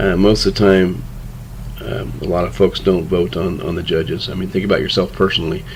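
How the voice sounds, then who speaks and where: The speaker talks at a fairly quick pace with ordinary pitch variation. Noticeable background noise and audible room echo are present. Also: man. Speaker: criminal justice instructor. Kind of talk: lecture. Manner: fast.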